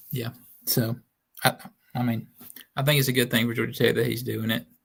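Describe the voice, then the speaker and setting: Speaking in a Southern US accent, a man delivers his words at a fairly quick pace and medium pitch. His intonation is monotone and flat, with vocal fry throughout. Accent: noticeable Southern. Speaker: sports writer. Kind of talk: casual chat.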